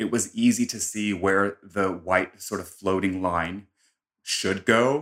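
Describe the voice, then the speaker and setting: A man's fairly low voice at a very slow pace, on a very clean recording with a silent background. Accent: American. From US West Coast, San Diego. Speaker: makeup artist. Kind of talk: interview. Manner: animated.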